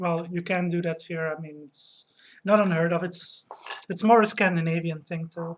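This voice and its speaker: A woman speaks in a Dutch accent at a fairly low pitch and a moderate pace. Her intonation is monotone and flat, while her loudness swings widely. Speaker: streamer. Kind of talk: casual chat. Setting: live stream at home.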